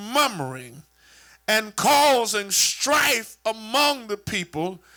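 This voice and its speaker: A man speaks in a raised, projected voice at an extremely high pitch. His pace is very slow, with noticeable background noise. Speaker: church superintendent / preacher. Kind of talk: sermon preached to a congregation. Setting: church with a live congregation.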